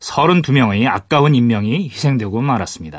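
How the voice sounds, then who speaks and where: Against a quiet background, a man is speaking. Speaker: radio history show host. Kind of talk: radio interview and scripted narration.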